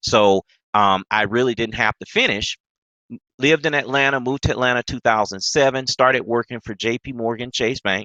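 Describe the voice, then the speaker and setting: Fairly quick speech from a man with a Mississippi accent, medium pitch, a bright, sharp tone and a dry, close sound with no echo. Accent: Southern (Mississippi). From US South, Mississippi. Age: 30s. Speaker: trader and investing coach. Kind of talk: webinar presentation. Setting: live stream webinar. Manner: animated.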